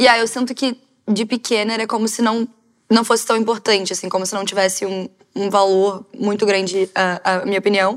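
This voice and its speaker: At a fairly quick pace, a woman speaks at a medium pitch with monotone, flat intonation. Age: 20s. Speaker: panel guest. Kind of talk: casual chat.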